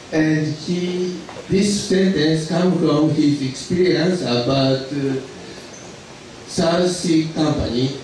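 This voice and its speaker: A man with a Japanese accent speaks at a very slow pace, fairly high in pitch and with fairly even intonation. The recording has strong room echo and light background noise. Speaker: lecturer on accounting. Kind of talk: lecture. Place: hall.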